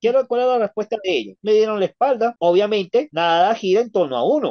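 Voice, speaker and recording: Nothing much can be heard in the background. He, a man, talks at a fairly quick clip. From Venezuela. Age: 30s. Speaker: ex-member of a church sharing his story; interview guest. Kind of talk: testimony. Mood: indignant, recounting bad experiences. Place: home room.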